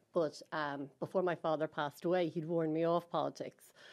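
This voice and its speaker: A woman speaks at a very fast pace in a very deep, low pitch. Her intonation is fairly even, and the background is quiet. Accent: Irish. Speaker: party women's network co-chair. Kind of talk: interview conversation.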